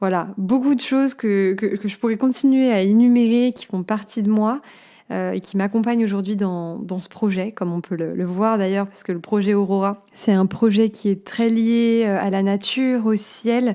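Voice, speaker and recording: The woman's dark, mellow voice sits at medium pitch, moving at a moderate pace with fairly even intonation. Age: 20s. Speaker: podcast host. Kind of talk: personal monologue podcast. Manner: hesitant, many fillers.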